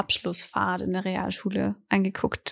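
This woman speaks at a fairly slow pace with a medium pitch. The recording is very clean with a silent background, and the sound is dry and close with no echo. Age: 20s. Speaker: student radio podcast co-host. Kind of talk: casual chat.

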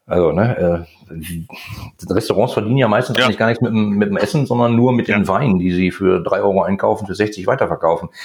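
Talking at a very fast pace, a man with a fairly low pitch keeps very even loudness and ordinary pitch variation. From Ruhr area, Germany. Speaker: chemist and e-commerce entrepreneur. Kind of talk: casual interview chat.

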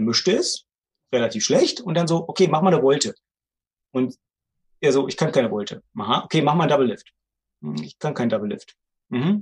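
A man talks at a fairly quick pace in a fairly high, somewhat breathy voice. His pitch swings very widely, with long, frequent pauses. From Brandenburg, Germany (Bernau near Berlin). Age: 40s. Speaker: magician and magic theater owner. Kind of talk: casual podcast interview.

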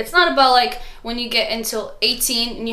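Amid audible room echo and noticeable background noise, a woman speaks at a moderate pace with a fairly high pitch and fairly even intonation. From Morocco, Casablanca. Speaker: student. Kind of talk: casual interview.

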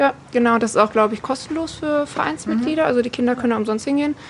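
A woman talks very fast at a fairly high pitch, her voice making very wide pitch swings. Noticeable background noise runs underneath. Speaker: women's football player. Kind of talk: group interview.

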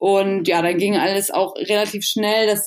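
A woman's plain, everyday voice at medium pitch and a moderate pace, fairly even intonation, in a very clean recording with a silent background. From northern Germany, rural Schleswig-Holstein. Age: 20s. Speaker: athlete and fitness influencer. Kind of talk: casual interview.

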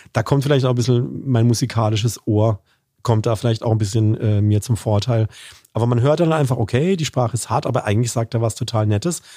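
A somewhat breathy man with a dark, mellow tone, a very fast pace and ordinary pitch variation, on a very clean recording with a silent background. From Baden, southwestern Germany. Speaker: corporate communications manager and lecturer. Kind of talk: interview conversation.

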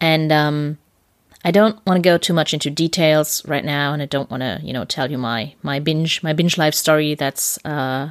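A woman speaks in a very deep, low pitch with a German accent. The recording is very clean, with a silent background. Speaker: podcast host, intuitive eating coach. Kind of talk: casual interview. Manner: giggly, frequent laughter.

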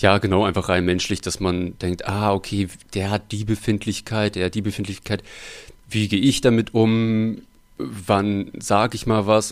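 A man's monotone, flat delivery at a moderate pace. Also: very clean recording, silent background. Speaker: puppeteer and musician. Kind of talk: casual interview chat.

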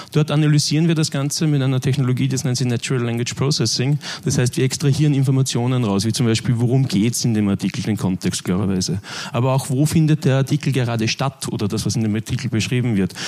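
A man's medium-pitched voice at a very fast pace, with very even loudness, ordinary pitch variation and noticeable background noise. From Austria (Linz, Upper Austria). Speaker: media tech manager. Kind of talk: conference talk.

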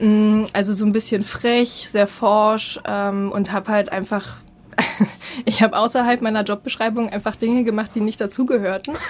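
Fairly high-pitched, monotone, flat speech from a woman at a moderate pace. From eastern Germany. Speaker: marketing and network expert, founder of a women's network. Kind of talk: interview.

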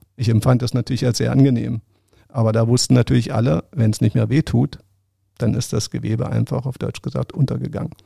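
A man speaks with vocal fry and a dark, mellow tone, his voice sounding dry and close with no echo. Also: medium pitch for a man, ordinary pitch variation, fairly quick pace. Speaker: sports journalist and former Paralympic swimmer. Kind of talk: interview.

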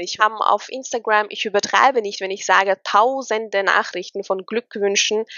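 This woman has a normal speaking voice, pitched fairly high, with fairly even intonation. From Austria. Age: 20s. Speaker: model and influencer. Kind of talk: interview.

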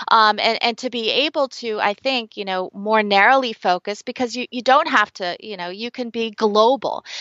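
In an American accent, a woman with a plain, everyday voice speaks at a moderate pace with hardly any pauses. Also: fairly high pitch for a woman, ordinary pitch variation. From United States. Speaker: branding consultant. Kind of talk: interview.

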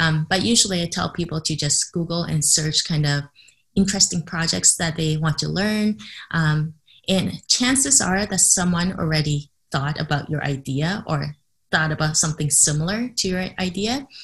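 A woman with a Canadian accent talks at a moderate pace, her fairly low, somewhat breathy voice showing ordinary pitch variation. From Canada. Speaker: entrepreneur and cognitive psychologist. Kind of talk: interview. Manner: hesitant, many fillers.

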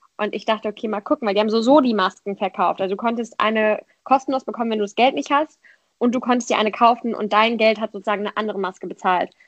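A woman's fairly high voice at a very fast pace, fairly even in intonation, with a dry, close sound and no echo. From Germany, Frankfurt area. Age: 20s. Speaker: politician and student activist. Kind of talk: casual interview. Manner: hesitant, many fillers.

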